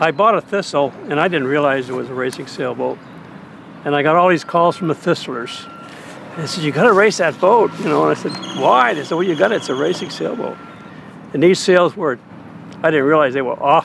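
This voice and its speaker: Over noticeable background noise, a man with a fairly high pitch talks at a fairly quick pace with ordinary pitch variation and long, frequent pauses. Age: 80s+. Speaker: amateur sailboat racer. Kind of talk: casual reminiscing.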